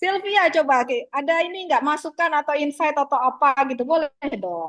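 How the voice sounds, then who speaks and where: Recorded dry and close with no echo, a woman with a high pitch speaks at a moderate pace with lively intonation. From Jambi, Sumatra (Kuala Tungkal, coastal). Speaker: university lecturer. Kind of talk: online lecture discussion. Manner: casual, filler-heavy (gitu, eh).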